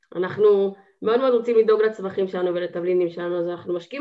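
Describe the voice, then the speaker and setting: Very fast speech from a woman, with ordinary pitch variation. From Israel, Haifa. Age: 20s. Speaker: student and gardening business owner. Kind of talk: casual chat.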